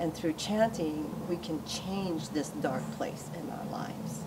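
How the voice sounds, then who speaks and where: Noticeable background noise surrounds a woman talking at a fairly slow pace. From Hawaii. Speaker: Buddhist practitioner and chapter leader. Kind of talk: informal teaching talk.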